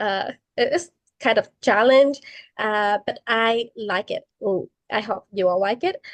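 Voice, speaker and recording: A woman speaks at a fairly slow pace with a non-native accent. The sound is dry and close, with no echo. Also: fairly high pitch for a woman, lively intonation. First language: not English. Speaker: college student. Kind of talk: student podcast discussion. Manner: hesitant, many fillers.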